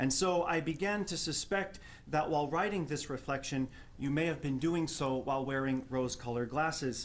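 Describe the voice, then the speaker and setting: This man speaks with a New Jersey accent at a fairly high pitch. His loudness stays very even, with ordinary pitch variation. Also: fairly quick pace. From New Jersey, Jersey City. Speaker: theology professor. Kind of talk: prepared academic response at a panel.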